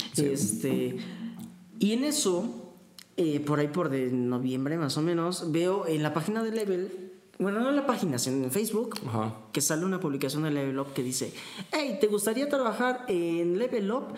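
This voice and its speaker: There is audible room echo and noticeable background noise. A man talks in a high pitch with very wide pitch swings. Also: moderate pace. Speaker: university student, aspiring voice actor. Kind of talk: casual chat.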